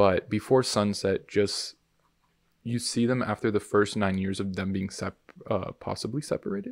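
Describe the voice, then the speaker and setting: On a very clean recording with a silent background, a man with an unremarkable speaking voice talks at a moderate pace, his fairly low pitch held in fairly even intonation. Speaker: podcast host and film student. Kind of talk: casual chat. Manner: laughs a lot, playful.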